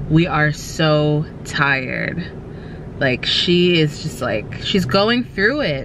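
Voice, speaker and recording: A woman with a very deep, low voice speaks over noticeable background noise, the sound dry with no echo. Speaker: vlogger. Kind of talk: casual vlog chat. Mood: cheerful, affectionate. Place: car. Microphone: phone near.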